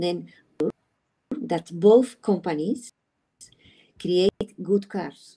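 In a Spanish accent, a woman speaks at a very slow pace with long, frequent pauses, her medium pitch showing ordinary pitch variation and a dark, mellow tone against a quiet background. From Spain. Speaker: sports psychologist. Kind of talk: online panel discussion. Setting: video call. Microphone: video call.

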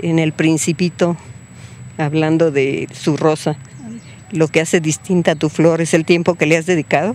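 A woman speaks with a very deep, low pitch in a monotone, flat way at a moderate pace, with long, frequent pauses and very even loudness. The sound is dry with no echo, over light background noise. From Spain. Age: 70s. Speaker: interviewee. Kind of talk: interview answer. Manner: emotional, indignant. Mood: reflective, indignant. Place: garden. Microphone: handheld.

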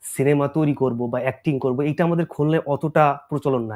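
A man with a fairly high pitch and a dark, mellow tone is heard on a very clean recording, silent in the background, dry and close with no echo. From Bangladesh, Khulna region. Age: 20s. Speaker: actor. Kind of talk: interview.

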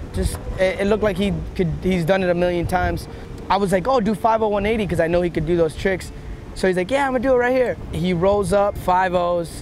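A man talks at a fairly quick pace in a high pitch, with ordinary pitch variation. The sound is dry with no echo, and there is light background noise. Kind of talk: interview answer. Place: waterside.

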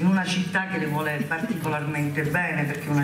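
A woman's very deep, low voice with fairly even intonation, audible room echo and noticeable background noise. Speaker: local politician introducing leader. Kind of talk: political rally speech. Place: hall. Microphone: podium.

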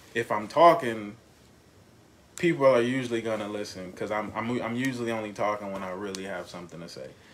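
A man with a fairly low voice talks very fast, his pitch varying in an ordinary way and his loudness swinging widely, with audible echo in the room. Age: 30s. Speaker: father. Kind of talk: casual chat.

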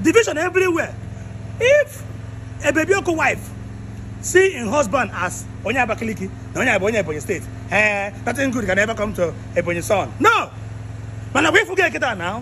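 The speech runs at a fairly quick pace yet has long, frequent pauses, with light background noise behind it. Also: man. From Nigeria, Igbo southeast. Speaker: vlogger; comedian in a skit. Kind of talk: walking tour commentary. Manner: animated. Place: garden. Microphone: phone near.

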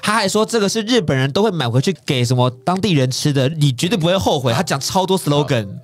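A man speaks at a fairly quick pace with a fairly high pitch, very wide pitch swings, very even loudness and hardly any pauses, over noticeable background noise. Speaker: radio host. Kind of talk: radio talk show hosting.

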